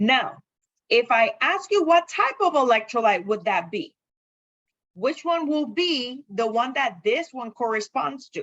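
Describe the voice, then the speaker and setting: At a fairly slow pace, a woman speaks in a high voice with very wide pitch swings. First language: not English. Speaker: chemistry lecturer. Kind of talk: lecture. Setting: classroom.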